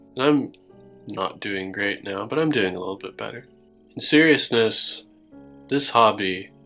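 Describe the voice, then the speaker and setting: A man speaks at a medium pitch and a moderate pace. His pitch varies in an ordinary way, with music in the background. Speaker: tabletop miniatures hobbyist. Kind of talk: casual talk to camera.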